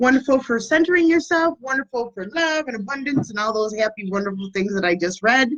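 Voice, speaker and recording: At a fairly quick pace and with hardly any pauses, a woman speaks with lively intonation and a fairly high pitch. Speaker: energy healer. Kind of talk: guided meditation. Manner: loud; casual.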